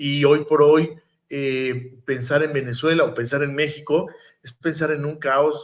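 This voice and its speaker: At a fairly slow pace, a man speaks in an ordinary speaking voice, pitched fairly high. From Mexico. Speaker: podcast host. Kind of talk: interview conversation.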